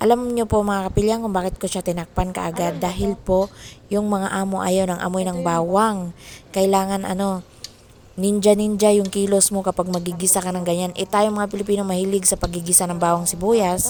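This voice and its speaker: With a dark, mellow tone, a woman speaks at medium pitch and a fairly quick pace in a monotone, flat intonation. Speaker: overseas domestic worker vlogger. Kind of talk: cooking vlog. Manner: casual, chatty.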